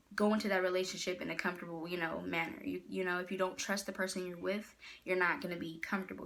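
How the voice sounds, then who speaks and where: At a very fast pace, a woman speaks with vocal fry. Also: fairly low pitch for a woman, fairly even intonation. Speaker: motivational speaker and poet. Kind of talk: casual vlog advice talk.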